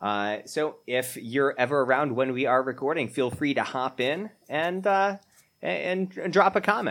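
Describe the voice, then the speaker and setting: With an unremarkable speaking voice, a man talks at a fairly slow pace in a fairly high pitch, his intonation lively. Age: 30s. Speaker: podcast co-host. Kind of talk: casual chat.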